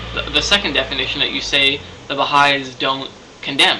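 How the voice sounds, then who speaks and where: A man with a fairly high pitch speaks over noticeable background noise. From Canada. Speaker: video blogger. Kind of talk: video response monologue. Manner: halting, many fillers.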